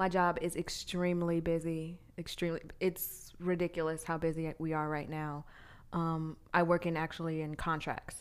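The speaker has an American accent and a monotone, flat intonation on a very clean recording with a silent background. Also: woman, fairly low pitch for a woman, moderate pace. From Arizona (Glendale). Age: 30s. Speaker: podcast co-host. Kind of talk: casual chat.

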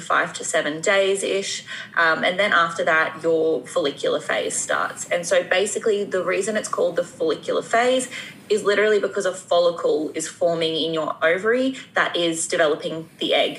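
Noticeable background noise is present. A woman talks over it at a moderate pace. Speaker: women's health expert, YouTuber. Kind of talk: casual interview chat.

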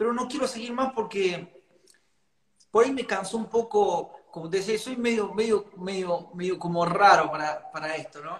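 This man's voice sits at a high pitch. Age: 40s. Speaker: cumbia singer. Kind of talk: interview.

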